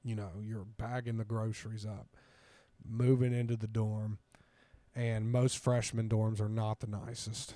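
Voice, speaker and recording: Speaking with an American accent, a man talks fairly slowly at medium pitch in a dark, mellow tone with monotone, flat intonation. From southern Ohio (Ironton). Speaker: former college football player. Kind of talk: casual interview.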